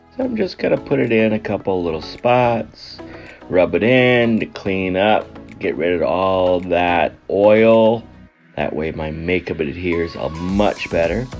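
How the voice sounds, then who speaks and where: Over music in the background, a man talks at a fairly slow pace in a very deep, low voice with ordinary pitch variation. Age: 50s. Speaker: husband narrating wife's makeup video. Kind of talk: humorous makeup tutorial voice-over.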